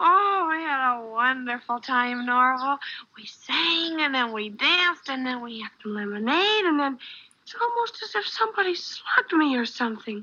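This female-sounding voice is a put-on character voice, high in pitch and delivered at a moderate pace. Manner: slurring words, giddy.

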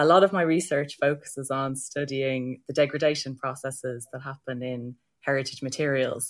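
A woman with an Irish accent at a moderate pace, against a quiet background. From Ireland. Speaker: heritage science researcher. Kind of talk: panel discussion.

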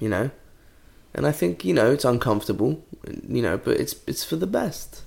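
Speaking at a moderate pace in a British accent, a man leaves long, frequent pauses. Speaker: podcast co-host. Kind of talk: casual chat.

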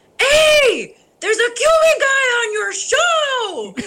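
A put-on character voice at an extremely high pitch and a very slow pace.

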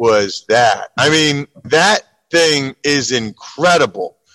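A man with an American accent has a normal speaking voice, fairly high in pitch with ordinary pitch variation. The sound is dry and close, with no echo. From Pennsylvania. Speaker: sports radio host. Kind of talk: casual chat. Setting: in a car.

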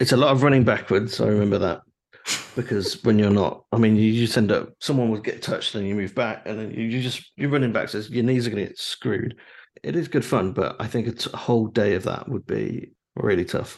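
At a fairly quick pace, a man speaks in a normal speaking voice at medium pitch with ordinary pitch variation, over a quiet background. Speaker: podcast host. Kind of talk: casual chat. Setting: video call. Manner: laid-back, joking.

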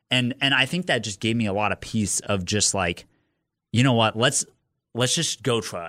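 At a moderate pace, a man speaks in a fairly low pitch with ordinary pitch variation and a bright, sharp tone. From Nebraska, US Midwest (Lincoln). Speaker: competitive marathon runner. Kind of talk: casual interview. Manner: hesitant, many fillers and repetitions.

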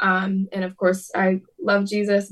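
A woman's medium-pitched voice with monotone, flat intonation. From US Midwest, Detroit area, Michigan. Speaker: pop singer-songwriter. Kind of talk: casual interview.

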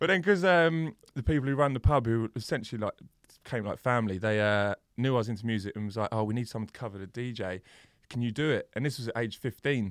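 Very fast speech in an English accent, with ordinary pitch variation, comes through a quiet background with a dry, close sound and no echo. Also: man, medium pitch for a man. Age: 30s. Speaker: DJ and producer. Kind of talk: casual chat.

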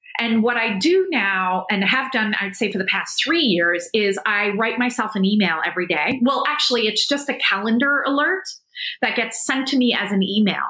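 The speech moves at a moderate pace with very even loudness. Noticeable background noise is present. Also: woman, fairly high pitch for a woman, lively intonation. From South Africa. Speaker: entrepreneur. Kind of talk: casual interview conversation.

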